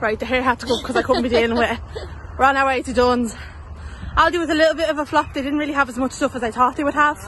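Here a woman talks in a high pitch with fairly even intonation. The sound is dry with no echo, over light background noise. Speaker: vlogger. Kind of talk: casual vlog chat. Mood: cheerful, laughing. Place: street. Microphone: phone near.

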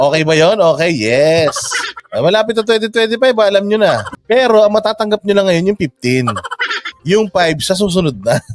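Lively intonation marks a man's high-pitched voice. He talks at a fairly slow pace with very even loudness. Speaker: online commentator. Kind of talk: reaction commentary. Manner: sarcastic.

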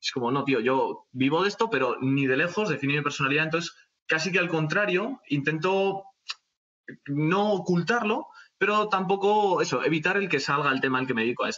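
Against a quiet background, a man with a high pitch talks at a fairly quick pace, with lively intonation and very even loudness. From Spain. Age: young. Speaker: bushcraft YouTuber. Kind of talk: casual chat. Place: home room. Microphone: video call.

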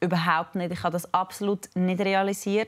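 The woman's speech holds a moderate pace. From Switzerland. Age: 20s. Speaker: fitness influencer. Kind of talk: TV interview. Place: studio. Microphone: lapel.

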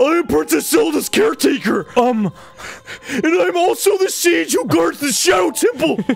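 Over music in the background, a man does a put-on character voice at an extremely high pitch with very wide pitch swings. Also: moderate pace.

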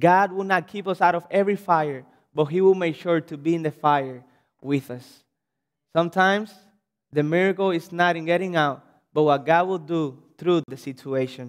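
Over a quiet background, a man with a Cuban accent speaks at a high pitch. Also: ordinary pitch variation, moderate pace. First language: Spanish. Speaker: pastor. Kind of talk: sermon. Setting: church. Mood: earnest, encouraging. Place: church. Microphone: podium.

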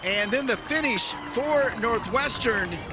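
Someone speaks at a very slow pace, the sound dry with no echo and noticeable background noise behind it. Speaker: play-by-play commentator. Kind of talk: live play-by-play commentary.

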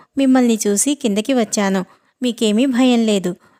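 The clip is plain reading aloud. Behind it, things stay quiet.

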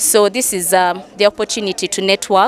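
A woman talks at a moderate pace. Her pitch sits in the medium range.

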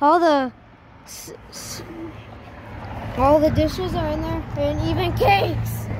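A woman is speaking, and the sound is dry with no echo. Noticeable background noise runs underneath. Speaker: vlogger exploring. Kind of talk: casual vlog chat. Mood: amazed, excited. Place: street. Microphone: phone near.

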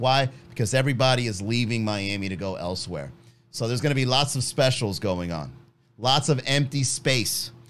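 Music plays behind a man's voice. He talks at a fairly quick pace, his intonation lively. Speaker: comedy podcast host. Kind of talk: comedic podcast monologue. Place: studio. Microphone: studio mic.

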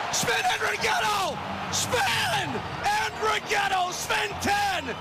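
Loud noise fills the background as a man talks. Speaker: radio play-by-play commentator. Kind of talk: live radio sports play-by-play call. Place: booth.

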